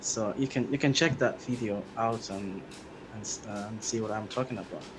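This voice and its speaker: A man with a non-native accent talks at a moderate pace in a somewhat breathy voice. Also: medium pitch for a man, fairly even intonation. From Somalia. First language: not English. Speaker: commenter joining stream. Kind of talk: heated debate. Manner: halting.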